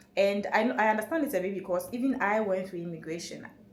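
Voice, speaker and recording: A woman's medium-pitched voice at a fairly quick pace, with audible room echo. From Ghana. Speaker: travel vlogger. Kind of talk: casual vlog talk to camera. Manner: fast; animated.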